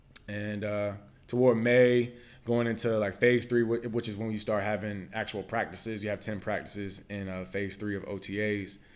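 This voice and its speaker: Speaking in an American accent at a moderate pace, a man keeps a monotone, flat intonation. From Virginia, US. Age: 20s. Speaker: former NFL quarterback, college football analyst. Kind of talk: casual chat.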